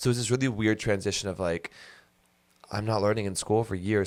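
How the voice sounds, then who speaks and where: Talking at a very fast pace, a man keeps a monotone, flat intonation in a fairly low voice. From Texas, Dallas. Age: 20s. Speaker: actor and influencer. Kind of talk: casual chat.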